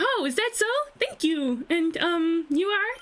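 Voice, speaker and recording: In a put-on character voice, a woman speaks at a fairly slow pace with an extremely high, squeaky pitch that swings very widely, her loudness very even. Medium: game stream. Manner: sweet, polite.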